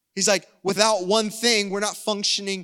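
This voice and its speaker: The tone is bright and sharp, with an American accent. The pace is moderate. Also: man. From US South. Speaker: pastor. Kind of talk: sermon. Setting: church service streamed online.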